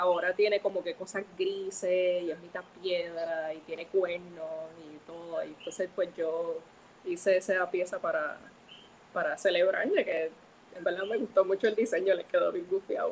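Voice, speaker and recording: A woman's ordinary-paced, medium-pitched speech at a moderate pace, with fairly even intonation and an ordinary speaking voice. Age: 20s. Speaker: comic book colorist. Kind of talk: interview. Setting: live stream.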